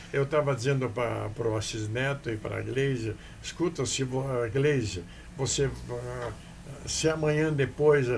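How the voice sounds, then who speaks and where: A somewhat breathy man talks at a fairly slow pace with ordinary pitch variation. Audible room echo is present. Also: medium pitch for a man. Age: 80s+. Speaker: businessman. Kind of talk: interview. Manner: halting.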